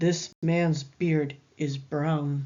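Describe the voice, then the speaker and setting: A woman puts on a character voice with a very deep, low pitch. Her intonation is monotone and flat. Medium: read story.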